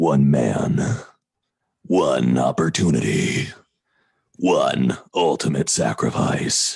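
The speaker uses a put-on character voice. It sounds raspy. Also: man. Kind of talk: dramatic.

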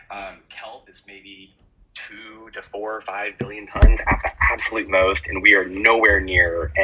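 Noticeable background noise fills the recording. A man speaks through it. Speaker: speaker. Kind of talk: discussion explanation. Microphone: video call.

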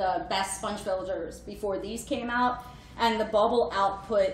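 Fairly even intonation at a moderate pace, with audible room echo and light background noise. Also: woman. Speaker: guest. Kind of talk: lecture. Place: home room. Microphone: camera far.

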